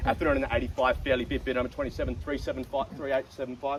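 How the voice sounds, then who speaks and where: Speech from a man comes at a very fast pace. He speaks with an Australian accent. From South Australia. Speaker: auctioneer. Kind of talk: live auction calling. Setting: outdoors.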